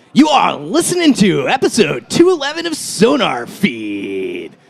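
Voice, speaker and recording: Using a put-on character voice, a man speaks at an extremely high pitch. His pace is moderate. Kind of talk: radio announcer.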